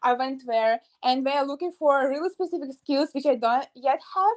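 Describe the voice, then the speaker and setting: In a Russian accent, a woman with a high pitch speaks at a moderate pace with ordinary pitch variation, in a dry, close recording with no echo and a quiet background. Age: young, about 18 to 19. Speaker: university student. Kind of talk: interview. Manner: halting, frequent hesitations.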